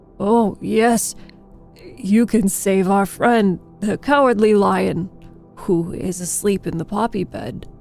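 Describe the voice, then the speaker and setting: Using a put-on character voice, a woman speaks at a fairly slow pace with faint music in the background. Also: medium pitch for a woman. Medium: read story. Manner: earnest, friendly.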